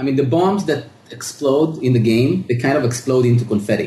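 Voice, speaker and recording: A man's voice over noticeable background noise. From Israel. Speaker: indie game developer. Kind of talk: interview.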